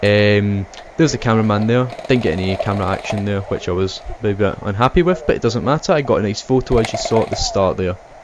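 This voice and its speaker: A man with a Scottish accent talks at a very fast pace, his fairly low pitch showing ordinary variation over noticeable background noise. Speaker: airsoft player and video narrator. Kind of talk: voiceover commentary.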